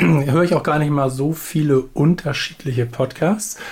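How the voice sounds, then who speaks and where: With an unremarkable speaking voice, this man talks at a moderate pace. His pitch is fairly high, with ordinary pitch variation. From Hamburg. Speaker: podcast co-host. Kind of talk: casual chat. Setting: remote call.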